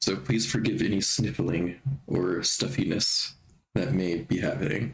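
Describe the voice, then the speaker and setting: At a fairly slow pace, a man with a fairly low pitch and vocal fry keeps his loudness very even while his pitch swings very widely. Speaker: video game streamer. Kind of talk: casual live-stream chat.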